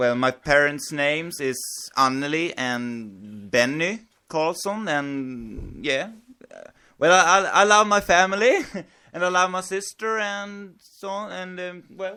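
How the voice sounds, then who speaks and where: A man's high, bright, sharp voice with a Swedish accent, fairly slow and with lively intonation and big swings in loudness, on a very clean recording with a silent background. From Sweden, Dalarna. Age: 20s. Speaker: podcast guest. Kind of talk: casual chat. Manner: halting.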